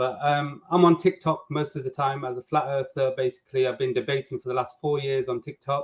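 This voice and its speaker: A man's somewhat breathy voice at a fairly quick pace, with hardly any pauses and fairly even intonation. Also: fairly high pitch for a man. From England, Nottingham. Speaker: flat earth debater, contestant. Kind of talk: video call introduction.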